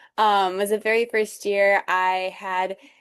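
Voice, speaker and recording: A woman with an American accent speaks at medium pitch over a quiet background. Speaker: program alumna, university student panelist. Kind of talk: panel discussion. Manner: hesitant, many fillers.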